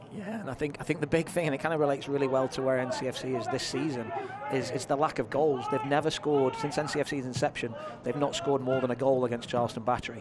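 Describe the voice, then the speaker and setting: With an English accent, a man speaks at a very fast pace and a fairly high pitch, his intonation fairly even. Noticeable background noise runs under his voice. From England. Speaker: color commentator. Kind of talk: live sports commentary.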